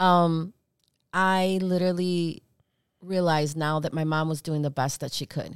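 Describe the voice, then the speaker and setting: This woman has an unremarkable speaking voice, fairly low in pitch, with fairly even intonation at a moderate pace. The sound is dry and close with no echo, on a very clean recording with a silent background. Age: 50s. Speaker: youth center founder. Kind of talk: casual chat. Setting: studio.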